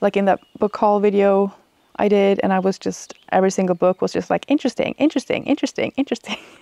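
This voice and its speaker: In a Swedish accent, a woman talks at a very fast pace in a dark, mellow tone. Her pitch variation is ordinary, and the sound is dry with no echo. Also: very even loudness, quiet background. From Sweden. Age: 30s. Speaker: book reviewer. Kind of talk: casual talk to camera. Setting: outdoors. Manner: hesitant, rambling. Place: garden. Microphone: lapel.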